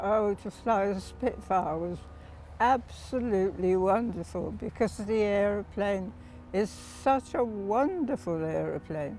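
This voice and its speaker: A woman with a British accent speaks at a fairly slow pace. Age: 80s+. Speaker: war veteran, wartime ferry pilot. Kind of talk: interview answer.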